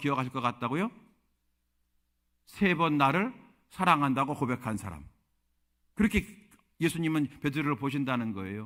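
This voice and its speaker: On a very clean recording with a silent background, a man speaks fairly quickly in a bright, sharp tone at fairly high pitch. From Korea, Chungcheong (Yesan). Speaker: pastor. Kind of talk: sermon.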